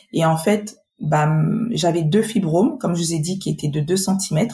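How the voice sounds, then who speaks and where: A woman's somewhat breathy, dark, mellow voice at medium pitch with ordinary pitch variation. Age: 40s. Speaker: patient advocate, association volunteer. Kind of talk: personal testimony interview.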